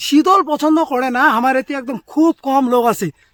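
A man speaks at an extremely high pitch with a bright, sharp tone and ordinary pitch variation. The sound is dry and close, with no echo. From North Bengal, India. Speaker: comedian. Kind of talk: comic monologue. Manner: animated.

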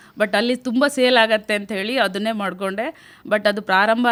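Here is an unremarkable speaking voice. It belongs to a woman with a fairly high pitch. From India, Uttara Kannada district (Honnavar). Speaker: self-help group entrepreneur. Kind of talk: radio interview testimony.

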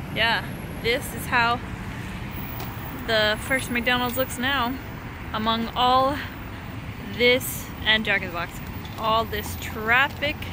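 A woman speaks very slowly with fairly even intonation and long, frequent pauses, in a dry sound with no echo over noticeable background noise. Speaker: vlogger. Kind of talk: casual vlog chat. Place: street. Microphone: phone near.

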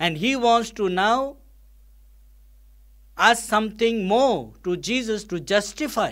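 Speaking slowly, a man uses a high pitch, a fairly bright tone and lively intonation.

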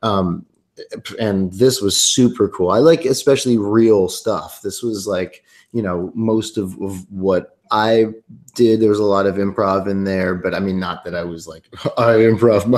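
Fairly slow speech from a man with fairly low pitch and ordinary pitch variation, over a quiet background. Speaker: singer-songwriter and actor. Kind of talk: casual interview chat. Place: home room. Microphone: webcam.

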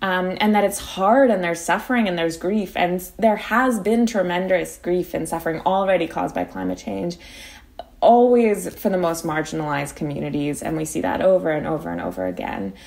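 It's an unremarkable speaking voice from a woman, fairly low in pitch with ordinary pitch variation. She talks at a fairly quick pace. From Philadelphia, US. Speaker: climate activist and law student. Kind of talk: interview.

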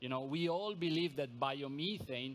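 Pitch moves in an ordinary way as the man talks at a moderate pace. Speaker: company sales director. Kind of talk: conference presentation. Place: hall. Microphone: podium.

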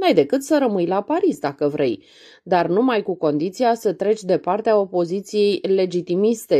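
With a quiet background, a woman talks at a moderate pace and medium pitch in a dark, mellow tone. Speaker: audiobook reader. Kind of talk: audiobook reading of a literary novella.

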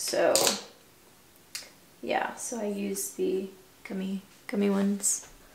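Clear background noise is present. The speaker is a woman. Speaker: graduate student vlogger. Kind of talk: casual vlog chat. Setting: at home. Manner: casual, filler-heavy. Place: bathroom. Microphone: camera far.

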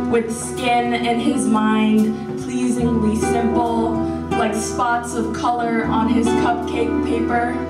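There is loud background noise. Through it, a woman speaks at a very slow pace. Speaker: poet. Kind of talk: poetry reading. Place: hall.

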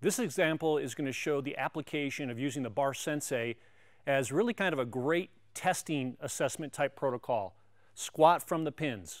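Moderate-paced speech from a man, with silence behind him. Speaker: strength coach presenter. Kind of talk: tutorial. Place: gym.

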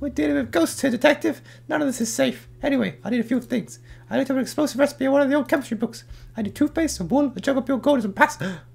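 A put-on character voice, fairly high in pitch and delivered at a very fast pace. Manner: defensive, self-centered, denies loudly.

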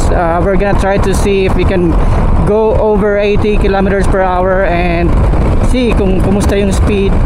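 Loud background noise sits behind the voice. The speech moves at a fairly slow pace. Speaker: motovlogger testing a mic. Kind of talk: casual vlog commentary. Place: motorbike. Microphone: helmet.

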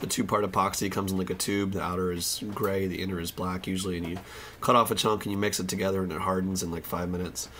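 A man with a very deep, low voice talks very fast in a flat monotone over noticeable background noise. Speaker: saxophone repairman. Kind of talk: casual tutorial talk to camera.

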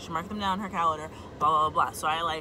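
Noticeable background noise sits behind a woman's fairly low-pitched voice. Her intonation is fairly even, and the sound is dry with no echo. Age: 20s. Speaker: vlogger. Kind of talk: rant to camera. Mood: annoyed, exasperated. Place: car. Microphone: phone near.

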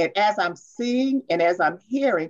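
A woman speaks at a fairly slow pace, her intonation lively. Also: medium pitch for a woman.

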